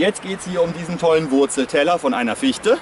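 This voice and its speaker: Noticeable background noise sits behind a man speaking at a moderate pace. The sound is dry, with no echo. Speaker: nature trail guide. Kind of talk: outdoor educational explanation. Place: forest.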